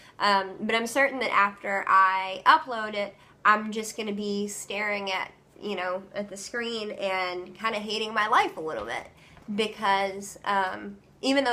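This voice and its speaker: Medium pitch and a moderate pace from a woman, intonation fairly even, noticeable background noise behind her. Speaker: vlogger. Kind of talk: casual vlog talk. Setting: home, doing laundry. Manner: hesitant, many ums; careful enunciation.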